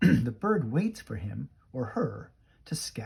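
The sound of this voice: The voice reads unforced. It is an unforced reading voice.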